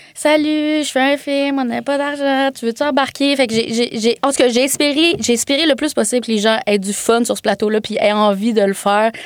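A woman speaks at a moderate pace in a high voice, with noticeable background noise. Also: ordinary pitch variation, hardly any pauses. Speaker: filmmaker. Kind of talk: casual chat. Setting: studio.

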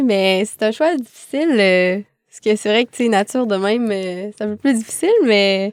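Talking at a fairly quick pace, a woman has a plain, everyday voice with a fairly high pitch and ordinary pitch variation. The sound is dry and close, with no echo. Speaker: filmmaker. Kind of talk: casual chat. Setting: studio.

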